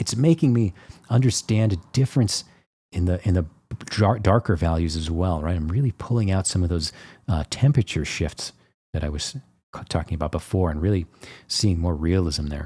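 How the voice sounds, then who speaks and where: This man speaks at a moderate pace in a very deep, low voice, his tone dark and mellow, somewhat breathy, with lively intonation, on a very clean recording with a silent background. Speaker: painter and art teacher. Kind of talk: tutorial. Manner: casual, with many fillers.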